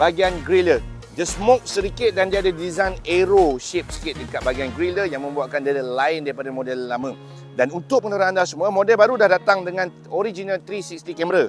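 Over faint background music, a man's high voice sounds dry with no echo and shows ordinary pitch variation. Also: fairly quick pace. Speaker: presenter. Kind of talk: car review commentary. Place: open country.

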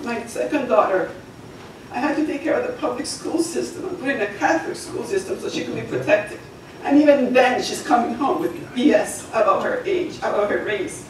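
Over light background noise and audible room echo, a woman speaks fairly quickly in a high voice with very wide pitch swings. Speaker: township resident giving public comment. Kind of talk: public comment testimony. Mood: emotional, earnest. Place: meeting room. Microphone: camera far.

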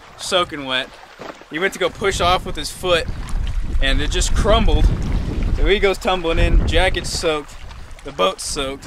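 Noticeable background noise sits under a dry sound with no echo. A man speaks at a moderate pace, leaving long, frequent pauses. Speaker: fishing vlogger. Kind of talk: casual vlog chat. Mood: amused, laughing. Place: boat. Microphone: phone near.

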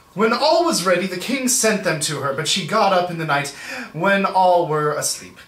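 Audible echo from the room around a male speaker, moderate in pace. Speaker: reader, commentator. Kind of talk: reading aloud with casual commentary. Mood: wry, sarcastic asides. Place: home room.

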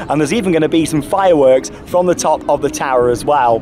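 A man talks at a fairly quick pace over light background noise, in a dry sound with no echo. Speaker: travel vlogger. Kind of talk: casual vlog chat. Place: street. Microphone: phone near.

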